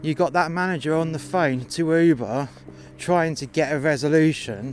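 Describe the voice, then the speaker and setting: In a British accent, a man with a fairly high pitch speaks in an angry tone at a moderate pace with ordinary pitch variation. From UK. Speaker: takeaway worker telling a story. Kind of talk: angry rant. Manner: angry, sweary, venting.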